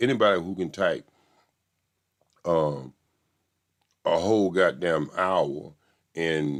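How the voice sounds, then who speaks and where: A man with a Southern US accent and a very deep, low pitch, very slow pace, long, frequent pauses and ordinary pitch variation. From US South. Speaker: YouTube commentator. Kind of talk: casual commentary on a court trial. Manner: animated.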